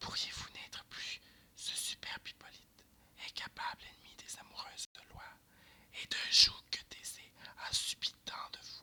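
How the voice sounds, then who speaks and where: Someone whispers at a very slow pace. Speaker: ASMR reader. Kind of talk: verse drama reading. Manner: whispered.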